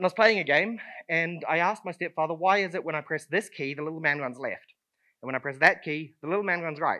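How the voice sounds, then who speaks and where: A man with a New Zealand accent, high-pitched and bright, sharp in tone, talking very fast over a quiet background. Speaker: conference speaker. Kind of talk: conference talk. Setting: stage with audience. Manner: hesitant, many fillers.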